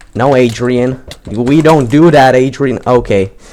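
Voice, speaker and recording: A man speaks at medium pitch with a non-native accent. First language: not English. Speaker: gaming youtuber. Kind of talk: live gaming commentary. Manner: stuttering, repeats words; casual, unscripted.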